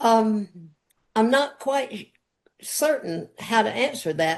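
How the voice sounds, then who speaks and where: A woman talks at a very slow pace in a fairly high pitch. Her intonation is lively. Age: 80s+. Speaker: interview guest. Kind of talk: interview chat.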